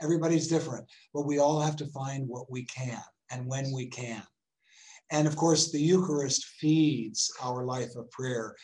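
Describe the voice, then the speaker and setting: A man speaks at a moderate pace with a fairly high pitch and a dark, mellow, somewhat breathy tone. His loudness swings widely. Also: fairly even intonation. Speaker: priest giving a talk. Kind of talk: religious talk with prayer and Q&A. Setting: online webinar.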